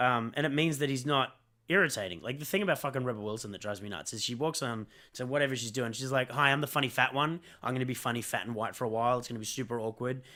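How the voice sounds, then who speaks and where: In an Australian accent, the speaker talks at a very fast pace with a bright, sharp tone and ordinary pitch variation. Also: man, medium pitch for a man. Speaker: film podcast co-host. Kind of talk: casual debate about a film.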